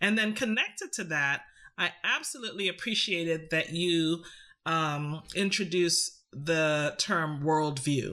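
This woman has an ordinary speaking voice with a fairly low pitch. She talks at a fairly slow pace. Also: ordinary pitch variation. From Canada, Trinidadian heritage. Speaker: psychology professor. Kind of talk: academic discussion.

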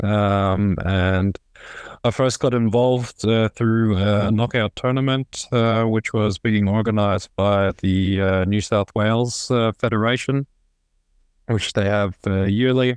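A man talks fairly slowly at a fairly low pitch, his loudness very even and his intonation fairly level. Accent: Australian. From Australia, Sydney. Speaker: professional handball player. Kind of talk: casual interview.

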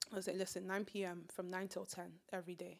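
A woman talks at a fairly quick pace in a fairly low pitch with vocal fry. Her intonation is monotone and flat. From Nigeria. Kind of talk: casual chat. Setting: studio.

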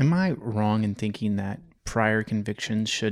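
A man with an ordinary speaking voice talks at a fairly low pitch and a fairly slow pace. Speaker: podcast co-host. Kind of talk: casual podcast chat.

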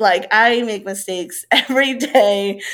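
In a very clean recording with a silent background, a woman speaks with a Spanish accent and ordinary pitch variation. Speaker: middle school teacher. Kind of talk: casual interview chat.

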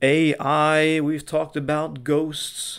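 On a very clean recording with a silent background, a man speaks at a fairly high pitch in an animated, playful tone. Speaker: radio host. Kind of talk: radio DJ patter, upbeat scripted-style show intro. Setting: radio studio broadcast. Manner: animated, playful, theatrical showman energy.

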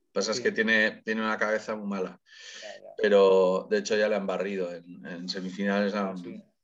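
A man talks at a fairly quick pace and fairly low pitch with monotone, flat intonation. His loudness swings widely. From Spain, Getxo (Basque Country). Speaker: singer. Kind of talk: casual chat.

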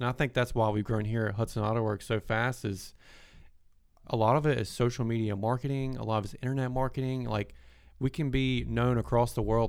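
A man speaks fairly quickly with a Southern US accent at a medium pitch. His intonation stays fairly even on a very clean recording with a silent background. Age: 20s. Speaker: podcast host and auto business owner. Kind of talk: casual chat. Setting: studio.

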